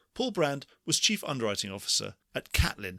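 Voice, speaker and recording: A man's fairly quick speech with vocal fry and very wide pitch swings. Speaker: podcast host. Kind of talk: podcast introduction.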